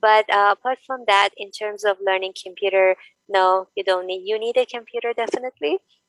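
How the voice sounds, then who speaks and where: A woman's medium-pitched voice with a non-native accent at a fairly quick pace, dry and close with no echo. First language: not English. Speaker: online business owner. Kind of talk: casual chat. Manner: halting.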